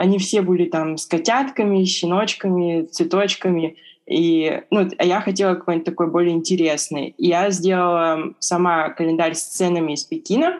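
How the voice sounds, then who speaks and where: Against a quiet background, a woman of fairly low pitch speaks at a moderate pace with ordinary pitch variation. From Siberia, Russia (Irkutsk). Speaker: illustrator. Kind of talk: interview. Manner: hesitant, many fillers.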